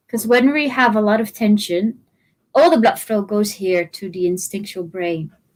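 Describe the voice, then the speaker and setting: At a moderate pace, the speaker uses lively intonation with a Dutch accent. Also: woman, medium pitch for a woman. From Netherlands. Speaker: trauma therapist and movement educator. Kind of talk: interview.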